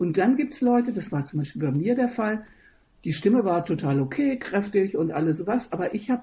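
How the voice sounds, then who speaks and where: In a quiet background, a woman with a dark, mellow, somewhat breathy tone speaks at a fairly quick pace with very wide pitch swings. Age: 60s. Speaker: opera singer and voice teacher. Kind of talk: interview.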